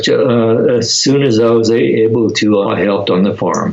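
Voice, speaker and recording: A man talks at a moderate pace with ordinary pitch variation and very even loudness over noticeable background noise. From US Pacific Northwest, rural Oregon near Portland. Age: 90s. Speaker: internment camp survivor. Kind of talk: interview. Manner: halting, many repetitions and fillers.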